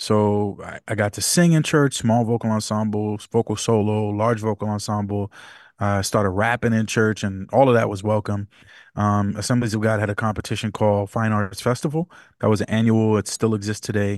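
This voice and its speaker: A man with an American accent talks at a moderate pace in a fairly low pitch, with fairly even intonation and a normal speaking voice. The background is quiet, and the sound is dry and close with no echo. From New York City (Bronx), Jamaican parents. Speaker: worship pastor. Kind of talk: casual interview.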